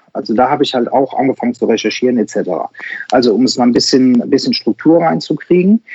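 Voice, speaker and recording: A man talks with very wide pitch swings. Vocal fry runs through his voice. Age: 40s. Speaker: insurance broker and digital sales coach. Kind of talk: interview. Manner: hesitant, many filler sounds.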